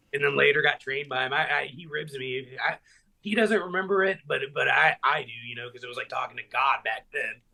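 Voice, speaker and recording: A man with a fairly high pitch and a bright, sharp tone shows vocal fry, lively intonation and big swings in loudness at a fairly quick pace. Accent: Tennessee. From Middle Tennessee, US South. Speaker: professional wrestler. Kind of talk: casual chat.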